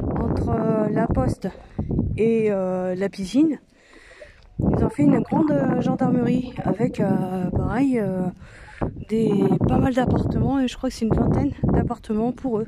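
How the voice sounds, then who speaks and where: A woman talks at a fairly high pitch and a fairly slow pace, with long, frequent pauses. Noticeable background noise runs behind her. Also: ordinary pitch variation. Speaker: vlogger. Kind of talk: casual vlog chat. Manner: loud; hesitant, many fillers.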